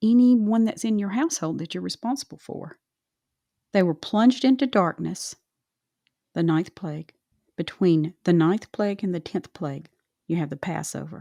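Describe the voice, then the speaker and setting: Speaking at a moderate pace in a Southern US accent, a woman uses lively intonation and a dark, mellow tone in a very clean recording with a silent background and a dry, close sound with no echo. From US South. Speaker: Bible study podcast host. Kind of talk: casual Bible discussion.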